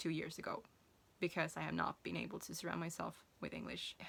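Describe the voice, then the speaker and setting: A woman speaks in a Swedish accent. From Sweden. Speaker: self-published author. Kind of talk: casual vlog talk. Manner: hesitant, many fillers and restarts.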